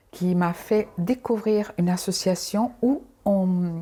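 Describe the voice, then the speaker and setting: Speaking at a very slow pace, a woman uses a medium pitch and a dark, mellow tone with ordinary pitch variation. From Angola. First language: Portuguese (speaking French). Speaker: dancer and cancer survivor. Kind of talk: interview testimony. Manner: halting, many repetitions; sing-song intonation.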